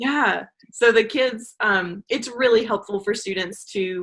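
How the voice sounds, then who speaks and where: The pitch moves in an ordinary way. It carries a Southern US accent. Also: woman. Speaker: online English teacher and adjunct professor. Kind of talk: interview. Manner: frequent filler 'um'.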